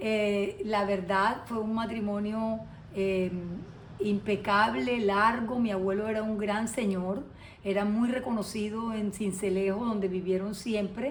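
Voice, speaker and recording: Audible room echo surrounds a woman speaking very slowly at a medium pitch with fairly even intonation. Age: 60s. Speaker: lawyer, interviewee. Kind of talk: interview testimony. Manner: hesitant, many fillers.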